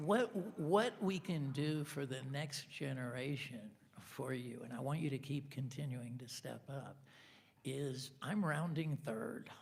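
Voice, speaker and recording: Amid audible room echo, a somewhat breathy man with a fairly high pitch speaks at a fairly slow pace. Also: lively intonation. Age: 60s. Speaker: city council candidate. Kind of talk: candidate forum answer. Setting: auditorium with live audience.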